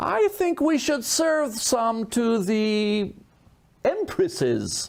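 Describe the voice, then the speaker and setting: Using a put-on character voice, a man talks at a very slow pace in an extremely high pitch. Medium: read story. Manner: commanding.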